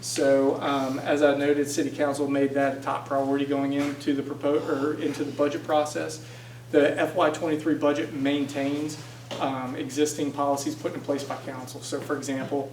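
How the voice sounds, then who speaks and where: Through noticeable background noise and audible room echo, a man speaks at a fairly high pitch with monotone, flat intonation. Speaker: city budget official. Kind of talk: presentation. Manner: fast.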